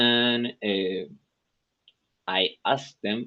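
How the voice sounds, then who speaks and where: A man with a Spanish accent and ordinary pitch variation. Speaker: software engineer, English student. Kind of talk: English lesson conversation practice. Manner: halting, many fillers and restarts.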